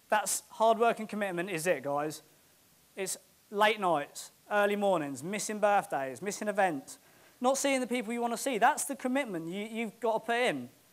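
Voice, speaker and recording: A man speaks in a British accent with a high pitch. His tone is animated and his intonation lively. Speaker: property investor. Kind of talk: motivational talk. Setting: stage with audience. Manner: fast.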